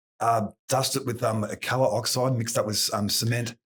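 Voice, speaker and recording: A man with an Australian accent speaks at a moderate pace. His delivery is monotone and flat, and somewhat breathy. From Victoria, Australia. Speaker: concrete polisher, business owner. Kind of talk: podcast interview. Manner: hesitant, many fillers.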